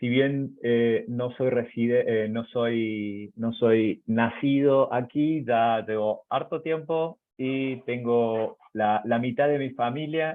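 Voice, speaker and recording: A man talks in an Argentine accent with hardly any pauses. His pitch is medium and his intonation fairly even. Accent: Argentine accent, noticeable in Chile. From Argentina, Córdoba province. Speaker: university professor and researcher. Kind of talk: webinar presentation. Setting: online webinar. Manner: hesitant with many fillers.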